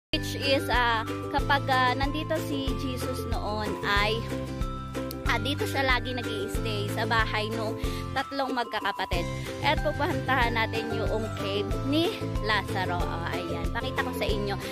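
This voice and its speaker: A woman talks at a moderate pace, her voice dry with no echo. Loud music plays behind her. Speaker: travel vlogger. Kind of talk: casual vlog chat. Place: open country. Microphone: phone near.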